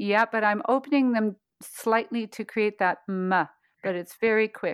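In a very clean recording with a silent background, a woman speaks at a fairly slow pace with a warm tone and ordinary pitch variation. The sound is dry and close, with no echo. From Toronto, Canada. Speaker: voice coach and meditation teacher. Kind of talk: guided voice practice and interview. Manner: warm, laughs often.

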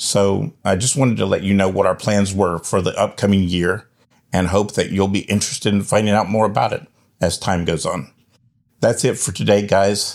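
A man speaks at a moderate pace in an ordinary speaking voice, fairly low in pitch with ordinary pitch variation, on a very clean recording with a silent background. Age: 50s. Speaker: religious ministry leader and podcast host. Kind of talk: podcast monologue.

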